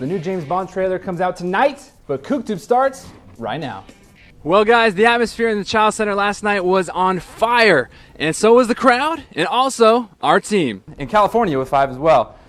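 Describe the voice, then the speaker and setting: A man's high, upbeat, energetic voice at a moderate pace, with very wide pitch swings and music in the background. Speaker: sports news anchor. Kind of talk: student TV sports news read.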